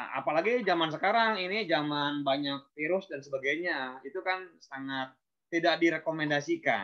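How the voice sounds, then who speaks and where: Keeping a moderate pace, a man speaks in a fairly high pitch with ordinary pitch variation. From Indonesia, West Java (Banjar). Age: 40s. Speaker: beekeeper. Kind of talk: webinar talk. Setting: online webinar. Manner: halting, many fillers.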